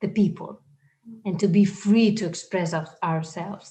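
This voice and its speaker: A woman speaks in a somewhat breathy voice with a Spanish accent. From Spain. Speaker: singer. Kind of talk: interview.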